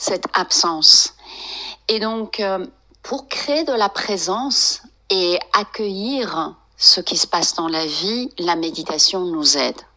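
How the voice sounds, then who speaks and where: A woman speaks at a very slow pace with lively intonation and long, frequent pauses, against noticeable background noise. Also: medium pitch for a woman. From France, of Iranian descent. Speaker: psychotherapist and meditation teacher. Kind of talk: interview. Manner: halting, with many hesitations.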